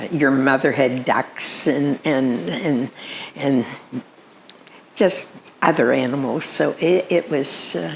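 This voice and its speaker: A woman's very deep, low voice, very slow and full of long, frequent pauses, with lively intonation over noticeable background noise. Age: 90s. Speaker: retired farm wife and mother of eight. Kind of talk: interview answer. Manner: hesitant, halting.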